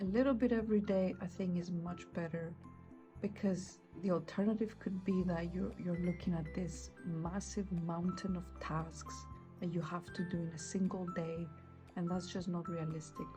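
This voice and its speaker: A woman at a moderate pace over background music. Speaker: journaling content creator. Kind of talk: casual talk to camera.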